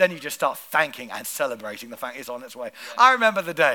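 Very fast and animated, a man speaks with very wide pitch swings. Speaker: pastor. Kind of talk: sermon. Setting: church.

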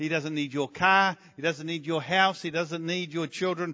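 A man speaks with a New Zealand accent at a high pitch. His pitch varies in an ordinary way. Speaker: visiting preacher. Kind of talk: sermon. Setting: church.

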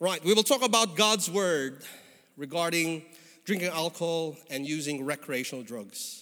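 With a Filipino accent, a man speaks at a moderate pace in a high, warm voice with lively intonation. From Philippines. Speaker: guest preacher. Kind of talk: sermon. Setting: church. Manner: warm, conversational with humor.

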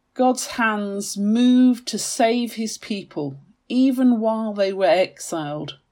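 A woman speaks very slowly at a fairly high pitch with lively intonation. Her tone is dark and mellow, as well as solemn and warm. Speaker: lay church reader leading a devotional reflection. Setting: recorded morning devotional broadcast. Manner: measured, solemn and clear, with a steady storytelling cadence; warm and earnest, sincere in the closing prayer.

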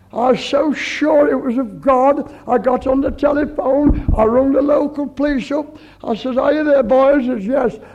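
The speech moves at a moderate pace with hardly any pauses. Noticeable background noise runs underneath. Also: man, extremely high pitch for a man. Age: 70s. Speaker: pastor. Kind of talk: sermon. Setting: church. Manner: animated.

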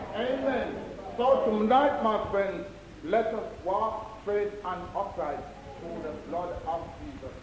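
Over noticeable background noise, a man with a high voice talks at a very slow pace, with ordinary pitch variation and big swings in loudness. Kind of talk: testimony. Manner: earnest, slow, rhythmic repeated 'my friends' address.

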